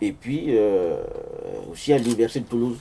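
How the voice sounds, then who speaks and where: A man talks at a moderate pace with a Central African accent. His medium-pitched voice shows ordinary pitch variation. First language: Sango (speaking French). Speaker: author and amateur linguist, engineer. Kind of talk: book presentation talk with slides. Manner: hesitant, many fillers.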